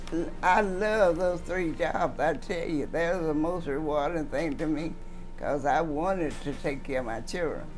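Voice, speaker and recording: Clear music sits in the background as a woman with a Southern US accent speaks with fairly low pitch and ordinary pitch variation. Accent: Southern American. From Mississippi. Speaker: retired teacher. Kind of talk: interview answer. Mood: warm, reminiscing. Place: home room.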